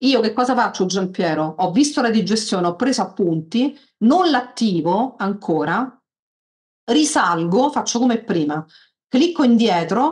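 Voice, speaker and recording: Against a quiet background, a woman's somewhat breathy voice moves at a moderate pace with very wide pitch swings. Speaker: software tutorial instructor. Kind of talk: tutorial. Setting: video call. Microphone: video call.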